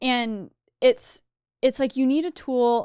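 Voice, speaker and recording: A woman speaks at a high pitch in a very clean recording with a silent background. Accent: American. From Texas. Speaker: youtuber and tech entrepreneur. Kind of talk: casual chat.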